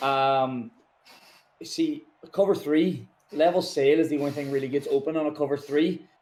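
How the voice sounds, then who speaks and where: With a Northern Irish accent, a man speaks in a fairly high pitch and fairly even intonation, leaving long, frequent pauses. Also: moderate pace. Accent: Derry. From Northern Ireland, Derry. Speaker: video game tournament champion, American football player. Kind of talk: post-game interview.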